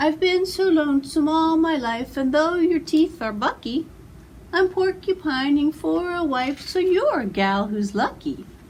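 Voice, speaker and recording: A woman uses a put-on character voice, pitched high with lively intonation. She speaks at a moderate pace against clear background noise. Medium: read story. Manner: lovesick.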